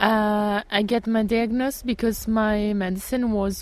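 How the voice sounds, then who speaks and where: A woman is speaking. Her pace is very slow. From Italy, Tuscany. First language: Italian (speaking German). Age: 30s. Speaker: pastry chef and blogger. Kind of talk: interview.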